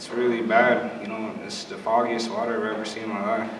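With noticeable background noise behind him, a man talks at a fairly quick pace and medium pitch. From South Dakota reservation. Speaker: panelist. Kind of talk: panel discussion. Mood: earnest, concerned. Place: meeting room. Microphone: camera far.

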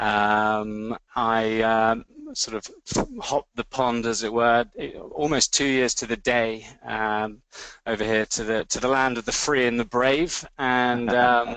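At a very slow pace, a man with a slight London accent speaks at a medium pitch with fairly even intonation. The sound is dry and close, with no echo. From London, England. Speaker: fundraising auction executive. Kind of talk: webinar presentation.

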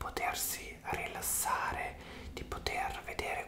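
Very slow whispering from a man. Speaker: hair massage roleplay host. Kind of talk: soft roleplay chat, ASMR-like. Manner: soft, intimate ASMR voice. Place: home room. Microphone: earbuds.

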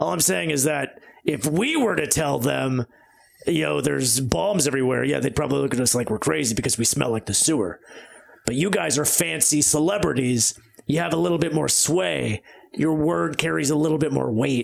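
At a fairly quick pace, a man speaks in a medium pitch. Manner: earnest, pushy, persuasive.

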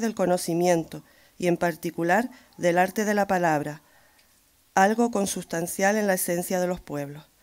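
A woman's speech moves at a moderate speed with ordinary pitch movement, set against a quiet background. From Canary Islands (Tenerife, San Juan de la Rambla). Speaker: local councillor. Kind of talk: ceremonial speech. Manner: formal. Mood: celebratory formal. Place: hall. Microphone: podium.

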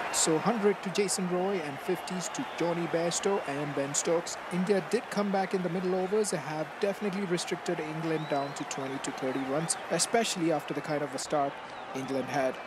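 Over crowd noise in the background, a man with a high pitch talks at a moderate pace with hardly any pauses. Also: ordinary pitch variation. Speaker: gaming YouTuber. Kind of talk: scripted video narration with channel intro and outro.

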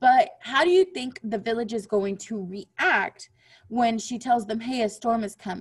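The passage is read in a natural voice.

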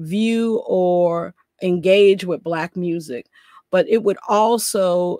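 The woman's voice sits fairly low in pitch, recorded dry with no echo over a quiet background. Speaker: scholar giving lecture. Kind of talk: lecture. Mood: earnest, measured. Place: home room. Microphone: webcam.

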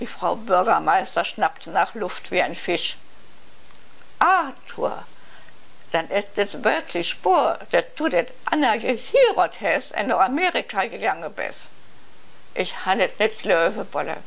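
A woman speaks at a very slow pace. Her delivery has long, frequent pauses. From eastern Belgium, border area. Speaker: novelist. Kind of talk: reading aloud. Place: home room. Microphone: lapel.

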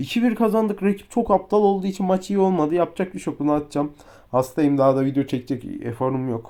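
Here a man with a high pitch and a dark, mellow tone talks at a fairly quick pace, his pitch swinging very widely. The recording is very clean and the background silent. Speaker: mobile football game streamer. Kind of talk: gameplay commentary. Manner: animated.

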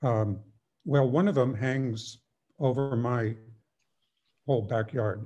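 A man with an American accent speaks at a very slow pace in a dark, mellow, somewhat breathy tone, with ordinary pitch variation, very even loudness and a quiet background. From Petaluma, California; California. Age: 70s. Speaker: neighboring resident. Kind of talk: public comment. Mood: concerned, mildly worried. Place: home room. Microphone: video call.

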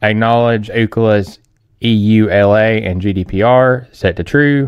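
Recorded dry with no echo against a quiet background, a man speaks. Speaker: tech tutorial creator. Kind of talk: tutorial.

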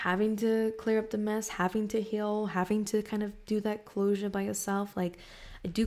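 A woman with a dark, mellow tone talks at a moderate pace. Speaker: tarot reader. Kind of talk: casual tarot reading talk. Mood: calm, thoughtful. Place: home room. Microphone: studio mic.

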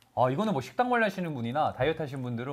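A man speaks with a somewhat breathy, animated tone, his pitch swinging very widely. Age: young. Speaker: live commerce shopping host. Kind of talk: live shopping broadcast. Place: studio. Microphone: lapel.

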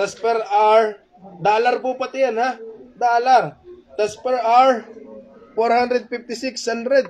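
At a very slow pace with long, frequent pauses, a man talks at an extremely high pitch with fairly even intonation. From Philippines. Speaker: pastor; preacher. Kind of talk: sermon. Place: church. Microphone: handheld.

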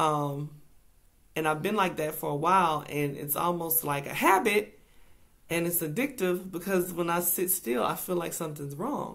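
The speech moves at a moderate pace with ordinary pitch variation over a quiet background. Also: woman, fairly low pitch for a woman. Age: 40s. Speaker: speaker. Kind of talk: inspirational devotional talk. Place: home room. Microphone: webcam.

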